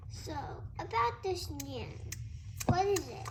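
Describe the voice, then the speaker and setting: A woman's put-on character voice at a fairly slow pace, over loud background noise. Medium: stage play.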